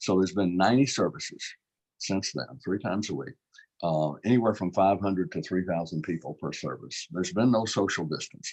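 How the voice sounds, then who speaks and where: Against a quiet background, a man with a Louisiana accent talks at a fairly quick pace. His voice is very deep and low, with lively intonation. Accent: Louisiana Southern US. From Baton Rouge, Louisiana, US South. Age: 70s. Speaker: state politician. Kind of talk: interview conversation. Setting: live online broadcast.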